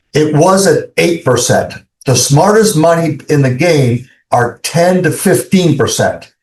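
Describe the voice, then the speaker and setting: A man's high voice at a fairly slow pace, with very even loudness and ordinary pitch variation. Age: 70s. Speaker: investment fund executive. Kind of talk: interview. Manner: hesitant with many fillers.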